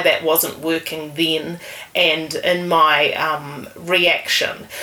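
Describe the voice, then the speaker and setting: A woman with a New Zealand accent at a very slow pace, over noticeable background noise. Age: 40s. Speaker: writer. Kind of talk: casual interview. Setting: in the host's house.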